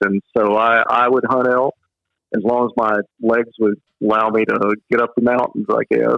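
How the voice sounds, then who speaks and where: Speaking in a Texas accent, a man keeps a moderate pace and a flat, monotone intonation. His loudness stays very even. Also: medium pitch for a man. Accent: Southern US (Texas). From West Texas. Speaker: author and hunter. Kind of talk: casual interview chat.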